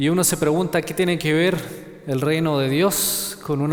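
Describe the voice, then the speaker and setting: A fairly high-pitched male voice with a Chilean accent and fairly even intonation, plus audible room echo. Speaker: preacher. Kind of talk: sermon. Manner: halting, with repetitions.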